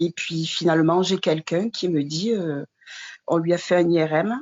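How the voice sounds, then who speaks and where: Her pitch sits fairly low and varies in an ordinary way. This woman talks at a fairly slow pace. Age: 60s. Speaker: widow and former caregiver. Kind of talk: testimony. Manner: halting, many hesitations.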